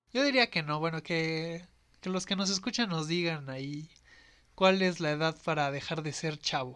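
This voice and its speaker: A man's fairly high voice moves at a moderate pace with ordinary pitch variation, captured on a very clean recording against a silent background. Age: 20s. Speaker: podcast host. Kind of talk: casual chat.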